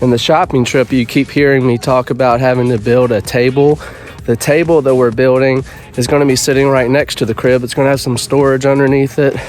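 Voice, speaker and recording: Music plays in the background as a man talks at a fairly quick pace and a medium pitch. His intonation is monotone and flat, and his loudness is very even. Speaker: homestead family vlogger, woodworker. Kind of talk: casual vlog narration. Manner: casual, conversational.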